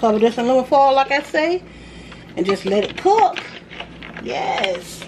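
The speaker goes at a moderate pace, with long, frequent pauses and very wide pitch swings. Noticeable background noise runs underneath. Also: woman, high pitch for a woman. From US South. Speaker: cooking video creator. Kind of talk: casual cooking vlog. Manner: animated.

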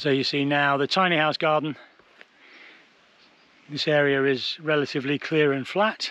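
The sound is dry, without any echo. A man talks fairly slowly. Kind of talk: casual vlog chat. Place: garden. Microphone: phone near.

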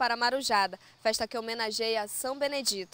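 Her tone bright and sharp, a woman talks at a fairly quick pace and fairly high pitch with fairly even intonation, captured on a very clean recording with a silent background. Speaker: TV presenter and interviewer. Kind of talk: interview.

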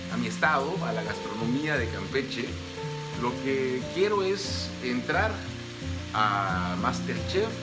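Loud background noise fills the clip. Through it, a man speaks at a very slow pace. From Campeche, Mexico. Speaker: amateur cook, product photographer. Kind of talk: cooking show casting video. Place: kitchen. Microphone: phone near.

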